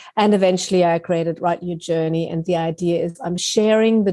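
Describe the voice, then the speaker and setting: A woman's dark, mellow voice at a fairly low pitch, with a German accent, over a quiet background. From Germany. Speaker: writing teacher and author. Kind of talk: interview.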